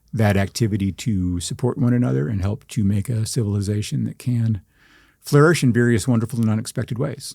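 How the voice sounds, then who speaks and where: A man in a normal speaking voice at a fairly quick pace. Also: medium pitch for a man, lively intonation. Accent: American. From Texas panhandle. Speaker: journalist and writer. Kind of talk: interview.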